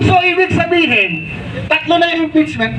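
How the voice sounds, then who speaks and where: Against noticeable background noise, a man with an extremely high pitch speaks in a raised, projected voice at a moderate pace. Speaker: senatorial candidate. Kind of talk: rally speech. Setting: outdoor rally with crowd. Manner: animated.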